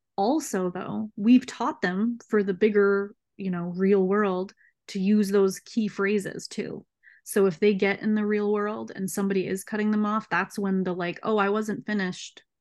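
In an American accent, a woman with an unremarkable speaking voice speaks at a moderate pace with fairly even intonation against a quiet background. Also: medium pitch for a woman. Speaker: speech pathologist. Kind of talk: casual interview chat.

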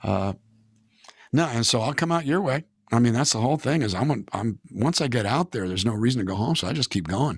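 With an American accent, a man at medium pitch speaks very fast in an animated tone with lively intonation, on a very clean recording with a silent background. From California. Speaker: singer-songwriter. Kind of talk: casual interview. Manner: animated storytelling.

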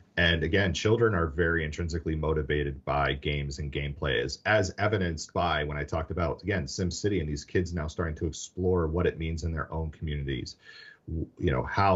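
Over a quiet background, a man with an American accent talks fairly quickly in a very deep, low voice with vocal fry, fairly even intonation and hardly any pauses. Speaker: education technology executive, former teacher. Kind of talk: podcast interview.

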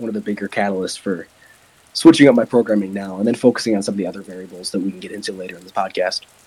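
Talking at a very fast pace, a man with a fairly low pitch shows ordinary pitch variation and big swings in loudness. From Wisconsin. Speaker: powerlifter. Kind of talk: casual interview chat.

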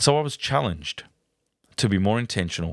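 A man with an Australian accent at a moderate pace, in a dry, close sound with no echo. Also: very clean recording, silent background. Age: 40s. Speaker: podcast host. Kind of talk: personal monologue. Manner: hesitant with fillers.

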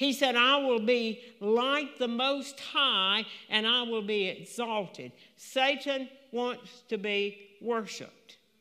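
This woman's pitch is high and her intonation fairly even. She talks at a very slow pace. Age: 80s+. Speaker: pastor. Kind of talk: sermon. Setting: church.

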